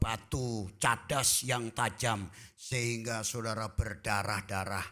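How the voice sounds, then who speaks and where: At a very slow pace, a man with a medium pitch and a bright, sharp tone speaks on a very clean recording with a silent background. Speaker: pastor. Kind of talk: sermon. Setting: church.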